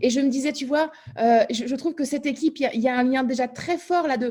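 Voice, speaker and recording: This woman has a high-pitched voice. Her tone is dark and mellow. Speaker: meeting facilitator. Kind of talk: online group meeting discussion. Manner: fast; animated.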